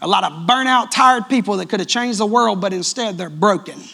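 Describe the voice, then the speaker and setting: In a Southern US accent, the speaker sounds animated and talks at a fairly quick pace over noticeable background noise. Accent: sounds country, Southern US. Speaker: pastor. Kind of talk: sermon. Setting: church. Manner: loud.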